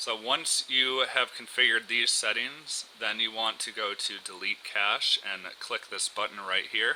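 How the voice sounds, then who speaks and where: Fairly slow speech against noticeable background noise. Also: man. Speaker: web tutorial creator. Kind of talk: tutorial. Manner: casual.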